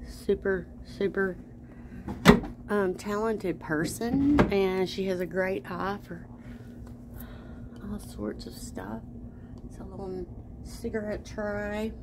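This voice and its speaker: A woman at a very slow pace with long, frequent pauses, amid noticeable background noise. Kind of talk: casual vlog chat. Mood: admiring, enthusiastic. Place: shop. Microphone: phone near.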